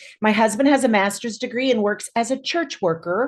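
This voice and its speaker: Lively in intonation and fairly quick in pace, a woman speaks in a normal speaking voice. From Kansas. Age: 60s. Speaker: social worker. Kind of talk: personal testimony. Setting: video call.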